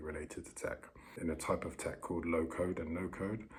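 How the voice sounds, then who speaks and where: A quiet voice with a British accent races along at a very fast pace in a flat, monotone intonation. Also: man. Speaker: vlogger. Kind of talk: casual vlog monologue. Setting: bedroom on holiday. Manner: halting. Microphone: poor audio.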